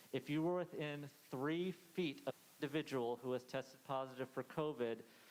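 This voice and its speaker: A man with an American accent speaks in a fairly high voice with fairly even intonation. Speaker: school principal. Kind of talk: presentation to parents. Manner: fast.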